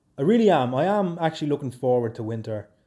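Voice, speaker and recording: A man in a Dublin accent with a dark, mellow tone and very wide pitch swings. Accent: Dublin Irish. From Ireland, Swords, County Dublin. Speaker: podcaster and YouTuber. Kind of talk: casual solo chat. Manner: animated, laughing often.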